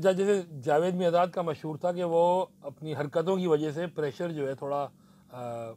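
Here a man speaks with a high pitch and a dark, mellow tone. His pace is moderate and his pitch variation ordinary. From Pakistan. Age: 40s. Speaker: podcast host. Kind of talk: casual cricket analysis. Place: studio. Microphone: lapel.

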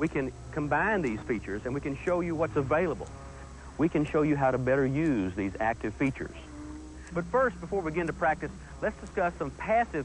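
Music plays behind a man who rattles off his words very fast, the sound dry with no echo. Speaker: driving instructor. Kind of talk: 1980s corporate training film narration. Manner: formal; earnest, measured and instructional.

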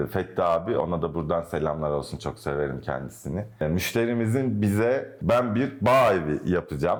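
Here a man talks at a moderate pace with lively intonation. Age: 30s. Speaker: architect. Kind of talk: interview. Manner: hesitant, with fillers.

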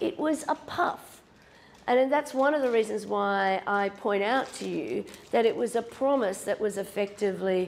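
The woman's voice moves through very wide pitch swings. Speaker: university law lecturer. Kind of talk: lecture. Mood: self-deprecating humor. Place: classroom.

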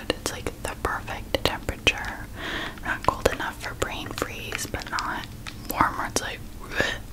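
A soft-spoken woman speaks at a fairly slow pace over loud background noise. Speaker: relaxation video host. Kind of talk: soft personal-attention roleplay talk. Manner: soft, hushed ASMR voice close to mic. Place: home room.

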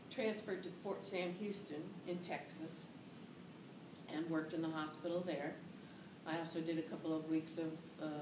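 A woman's fairly quick, fairly evenly intoned speech over noticeable background noise. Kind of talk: interview answer. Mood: calm, reflective. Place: office.

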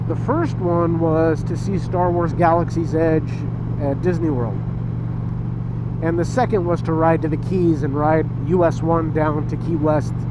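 Heard over loud background noise, the speaker keeps a moderate pace in a dry sound with no echo. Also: man. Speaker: motorcycle vlogger. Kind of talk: casual vlog chat. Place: motorbike. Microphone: helmet.

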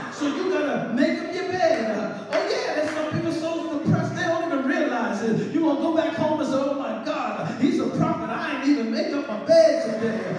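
Strong room echo and noticeable background noise surround a man with an extremely high pitch. He talks at a fairly quick pace with hardly any pauses. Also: ordinary pitch variation. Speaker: preacher. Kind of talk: sermon delivered to a congregation. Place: church. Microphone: camera far.

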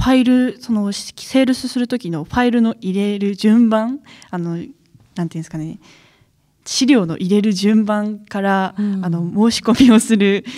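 A woman's medium-pitched voice, dark and mellow in tone, moves at a moderate pace with ordinary pitch variation and big swings in loudness in a very clean recording with a silent background. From Akita, Misato. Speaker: new sales employee. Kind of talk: interview.

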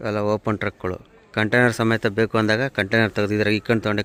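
The speaker is a man whose pitch sits fairly low. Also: dry, close sound with no echo. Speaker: truck driver vlogger. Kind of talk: casual vlog narration.

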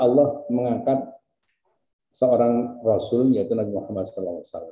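Fairly slow speech from a man with a dark, mellow tone, plus audible room echo. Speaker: university rector. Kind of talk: formal speech. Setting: video call. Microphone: video call.

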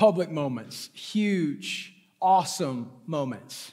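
The background stays quiet. A man talks with very wide pitch swings. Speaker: pastor. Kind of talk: sermon. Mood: playful, joking. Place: stage. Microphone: headset.

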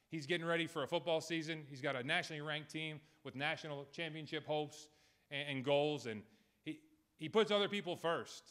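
In a Boston accent, a man talks at a fairly quick pace with fairly even intonation over a quiet background. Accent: Boston-area New England. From eastern Massachusetts (Hull); Massachusetts. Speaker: college baseball head coach. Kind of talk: press conference speech. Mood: emotional, grateful. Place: meeting room. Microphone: podium.

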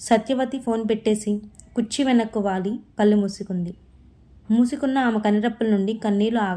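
Natural voice, reading aloud.

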